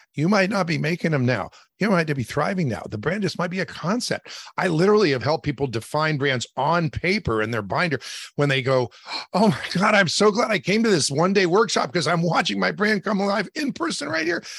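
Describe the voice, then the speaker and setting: An energetic man with an American accent, high-pitched, fairly quick, with very wide pitch swings. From West Virginia. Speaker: branding consultant and author. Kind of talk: interview.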